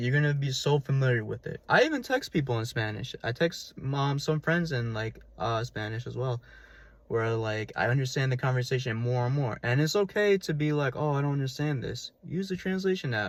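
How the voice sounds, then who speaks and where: With a New York accent, this man talks at a fairly quick pace in a somewhat breathy, medium-pitched voice with ordinary pitch variation, on a very clean recording with a silent background. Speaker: language learning vlogger. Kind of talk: casual advice vlog. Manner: fast; casual, many fillers.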